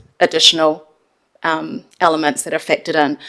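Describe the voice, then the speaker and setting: This is a woman speaking. She has a New Zealand accent. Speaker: council finance staff member. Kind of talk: council meeting briefing. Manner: loud.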